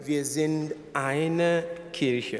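A man speaks, and his pitch shifts in an ordinary way. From Ghana. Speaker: archbishop. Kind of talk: speech. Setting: stage with audience. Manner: halting. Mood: warm, thankful. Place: hall. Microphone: podium.

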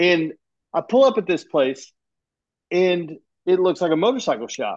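At a moderate pace, a man with a high pitch and lively intonation speaks in a dry sound with no echo over a quiet background. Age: 50s. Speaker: podcast host. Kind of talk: casual chat. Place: home room. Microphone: earbuds.

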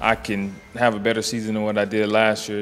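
A fairly low-pitched man at a fairly quick pace, with faint music in the background. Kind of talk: interview answer. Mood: relaxed, casual. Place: bar. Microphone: handheld.

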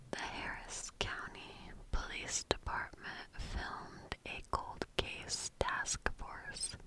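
Soft-spoken and very slow, a woman talks over loud background noise in a dry sound with no echo. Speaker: true crime narrator. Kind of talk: storytelling commentary. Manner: soft, hushed ASMR storytelling voice. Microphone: studio mic.

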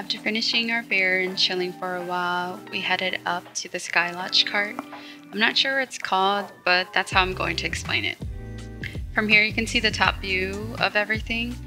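Music plays in the background. A woman speaks with ordinary pitch variation. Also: moderate pace. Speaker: vlogger narrating her trip. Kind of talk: casual vlog narration.

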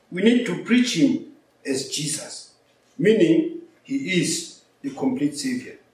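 The speech moves at a fairly slow pace with audible room echo around it. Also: man. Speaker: preacher or lecturer. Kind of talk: lecture. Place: office.

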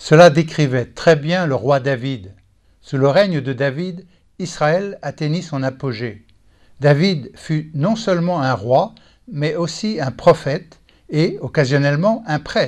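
Against a quiet background, a man with a fairly high pitch speaks very slowly with lively intonation. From Texas. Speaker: Bible teacher. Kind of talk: scripted teaching talk.

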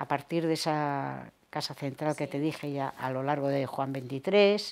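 A woman's very deep, low voice at a fairly slow pace with fairly even intonation. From Cantabria, Torrelavega; Cantabria. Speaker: retired teacher. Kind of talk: oral history interview; interview answer. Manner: hesitant. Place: home room. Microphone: lapel.

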